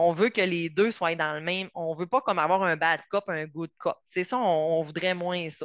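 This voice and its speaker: With a slight Saguenay accent, a woman speaks at a moderate pace in a fairly low voice, with fairly even intonation and hardly any pauses. The sound is dry and close with no echo. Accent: mild Saguenay Quebec French. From Quebec, Saguenay–Lac-Saint-Jean. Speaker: psychotherapist and family mediator. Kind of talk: lecture. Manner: hesitant, many fillers.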